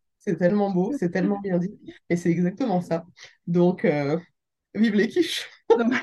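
A woman speaks at a fairly slow pace with long, frequent pauses, her dark, mellow voice somewhat breathy and showing ordinary pitch variation. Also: medium pitch for a woman. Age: 30s. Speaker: real estate investor and business angel. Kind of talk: casual interview. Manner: animated.

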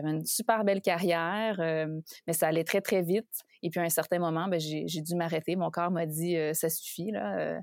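A woman with an unremarkable speaking voice talks at a fairly slow pace and fairly low pitch with fairly even intonation, her very clean recording dry and close with no echo and a silent background. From Quebec. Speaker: leadership coach. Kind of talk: interview.

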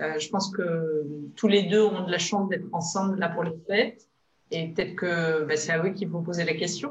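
In a room with audible echo, a woman talks at a moderate pace, somewhat breathy and fairly low in pitch. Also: fairly even intonation. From Provence, France (Var). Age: 30s. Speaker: business consultant and trainer. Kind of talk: interview.

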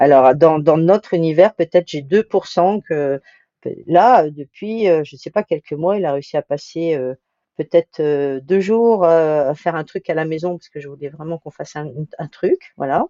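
A woman's fairly low voice with big swings in loudness, ordinary pitch variation and a fairly slow pace. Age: 60s. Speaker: sailing project manager, skipper's wife. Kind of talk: interview. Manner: halting, frequent repetitions.

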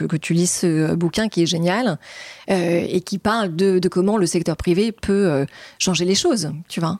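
The sound is dry and close, without any echo. Her pitch is fairly low for a woman, and its variation is ordinary. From France, Normandy. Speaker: entrepreneur. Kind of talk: interview. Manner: hesitant, filler-heavy.

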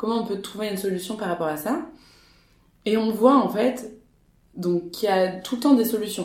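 A woman talks at a moderate pace and medium pitch with lively intonation, and the room echo is audible. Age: 20s. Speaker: startup co-founder. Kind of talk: casual interview. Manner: hesitant, many fillers.

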